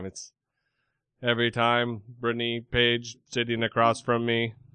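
A man's put-on robotic character voice at medium pitch, monotone and flat in intonation, at a moderate pace. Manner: robotic, monotone.

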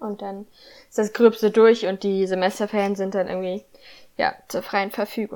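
A woman's medium-pitched voice has a dark, mellow tone, monotone and flat intonation, and big swings in loudness. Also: moderate pace. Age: 20s. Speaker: student podcaster. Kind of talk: casual chat.

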